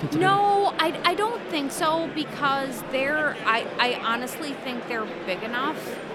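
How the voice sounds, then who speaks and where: Someone with an American accent talks at a very slow pace with hardly any pauses and very wide pitch swings, in audible room echo with noticeable background noise. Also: woman, high pitch for a woman. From Wisconsin. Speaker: whiskey brand representative. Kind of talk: casual chat. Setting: live at a whiskey festival.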